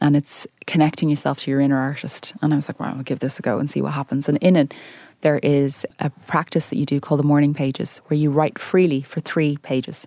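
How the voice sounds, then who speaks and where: In an Irish accent, a dark, mellow voice speaks at a very fast pace, with a dry, close sound and no echo. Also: woman, very deep, low pitch for a woman, fairly even intonation. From Ireland. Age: 30s. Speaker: weight loss influencer. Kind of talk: interview.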